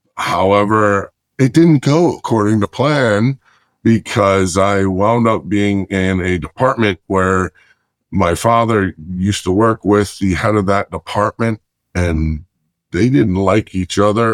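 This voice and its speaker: Here a man with an ordinary speaking voice talks at a fairly slow pace in a fairly low pitch, with ordinary pitch variation and very even loudness, in a very clean, dry, close recording with no echo and a silent background. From Chicago and Lancaster County, Pennsylvania. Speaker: salesman. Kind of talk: interview storytelling.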